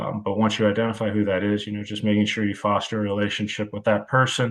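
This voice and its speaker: This man talks at a very fast pace in an American accent. His fairly low voice stays monotone and flat. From US Midwest, Cleveland, Ohio area. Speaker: college football wide receivers coach. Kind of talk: podcast interview. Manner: dry, deadpan delivery.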